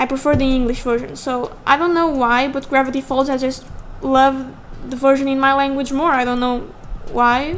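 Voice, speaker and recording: A woman's high-pitched voice with a non-native accent, monotone and flat in intonation, in audible room echo. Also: moderate pace. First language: not English. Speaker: digital artist YouTuber. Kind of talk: casual drawing commentary. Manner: halting, self-correcting.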